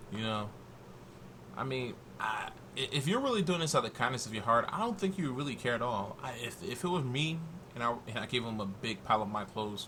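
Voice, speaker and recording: At a very fast pace, a man speaks in a medium pitch with lively intonation. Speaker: YouTube commentator. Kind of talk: casual reaction rant. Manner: slurring.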